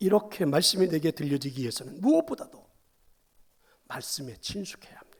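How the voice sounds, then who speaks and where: The man's voice has a dark, mellow tone. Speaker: pastor. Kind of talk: sermon. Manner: fast.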